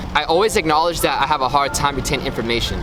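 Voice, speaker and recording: Fairly high-pitched and very fast, a man talks over noticeable background noise. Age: 20s. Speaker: student athlete vlogger. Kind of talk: vlog narration.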